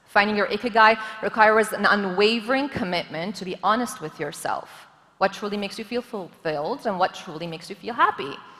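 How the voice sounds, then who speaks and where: A woman's animated, medium-pitched voice at a fairly quick pace, with ordinary pitch variation and big swings in loudness, over noticeable background noise. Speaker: government official, forum speaker. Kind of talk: conference talk.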